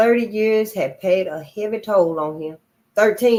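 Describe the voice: Simple read-aloud delivery over a hushed backdrop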